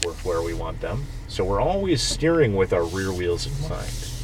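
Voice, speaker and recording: A man's voice over noticeable background noise. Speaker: off-road driving instructor. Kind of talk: instruction. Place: car. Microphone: phone near.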